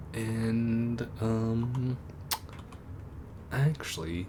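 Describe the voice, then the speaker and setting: A man's voice at medium pitch. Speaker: gaming streamer. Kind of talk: let's play commentary. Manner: halting.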